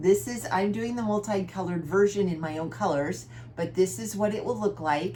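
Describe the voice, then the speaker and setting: There is audible room echo along with noticeable background noise. Through it, a woman speaks at a fairly quick pace. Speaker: cross-stitch vlogger. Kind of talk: casual chat.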